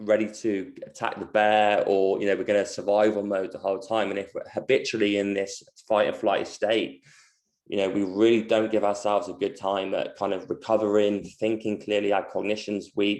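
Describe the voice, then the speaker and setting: Monotone, flat intonation in a London accent over a quiet background. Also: man, fairly low pitch for a man. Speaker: movement coach. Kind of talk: online presentation. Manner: fast; halting, many fillers.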